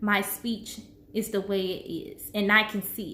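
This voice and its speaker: The speech goes at a very slow pace, and room echo is audible. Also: woman. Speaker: vlogger sharing health journey. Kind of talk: personal vlog. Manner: slow, halting with pauses for breath; trips over words.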